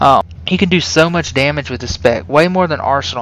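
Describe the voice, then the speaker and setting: A man's pitch leaps across a very wide range while noticeable background noise carries on behind him. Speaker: video game guide creator. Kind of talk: tutorial. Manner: fast; casual with many fillers.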